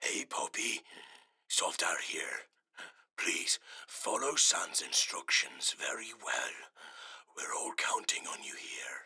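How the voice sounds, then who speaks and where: A whispered, put-on character voice at a fairly slow pace, broken by long, frequent pauses. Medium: audio drama. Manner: earnest.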